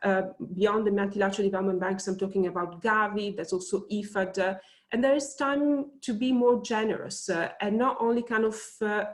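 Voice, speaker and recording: A woman speaks at a fairly quick pace in an Italian accent. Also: medium pitch for a woman, ordinary pitch variation. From Italy. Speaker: think tank researcher. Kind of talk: webinar panel talk. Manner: hesitant, many fillers.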